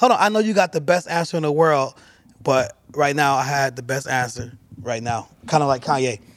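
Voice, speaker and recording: The speaker has a normal speaking voice and lively intonation. The pace is moderate. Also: man, fairly high pitch for a man. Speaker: talk show host. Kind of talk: casual chat. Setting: studio.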